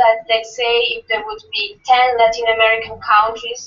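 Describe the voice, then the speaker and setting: Speaking at a fairly slow pace, a woman with a non-native accent uses a fairly high pitch. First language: not English. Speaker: association officer presenting amendment. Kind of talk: meeting debate.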